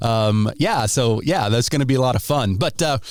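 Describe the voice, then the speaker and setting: An upbeat man with an American accent speaks with ordinary pitch variation. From Ohio, US Midwest. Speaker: podcast host. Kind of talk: interview. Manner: casual, upbeat.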